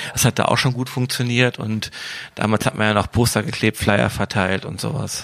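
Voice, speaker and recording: A man speaks at a moderate pace with a fairly low pitch and fairly even intonation. His is an unremarkable speaking voice. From Wuppertal, western Germany. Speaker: DJ and event promoter. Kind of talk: casual interview.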